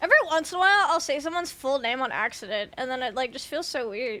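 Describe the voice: A woman speaks fast in a high-pitched voice with a bright, sharp tone and ordinary pitch variation.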